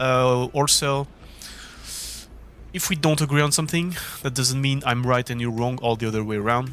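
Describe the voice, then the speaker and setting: With music playing behind him, a man with a French accent speaks at a moderate pace, his medium-pitched voice showing ordinary pitch variation. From France. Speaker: esports racing gamer, video creator. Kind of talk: opinion monologue. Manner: hesitant with many fillers.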